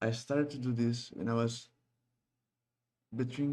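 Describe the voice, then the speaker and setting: A man with a Brazilian Portuguese accent speaks at a fairly slow pace and medium pitch, his tone dark and mellow and his intonation fairly even. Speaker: game developer and YouTuber. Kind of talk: casual vlog, practicing English. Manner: halting with many repetitions.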